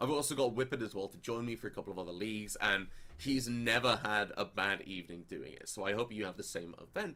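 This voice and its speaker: A man speaks with an English accent. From England. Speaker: esports caster. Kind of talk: live commentary.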